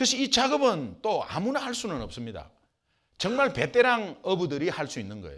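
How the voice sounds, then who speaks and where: A man with a Gyeongsang accent and very wide pitch swings, in a very clean recording with a silent background. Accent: Gyeongsang regional Korean. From southeastern Korea.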